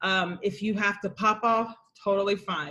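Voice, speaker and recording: A woman's loud voice of medium pitch with monotone, flat intonation. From US Midwest (Columbus, Ohio). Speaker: entrepreneur hosting online coffee chat. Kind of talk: casual group video chat. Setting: video call. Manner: casual.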